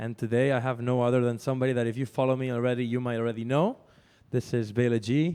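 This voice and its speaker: Very fast and flat in a monotone, a man speaks with a Spanish accent at a medium pitch in a dark, mellow tone. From Spain. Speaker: radio host and DJ. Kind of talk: casual chat.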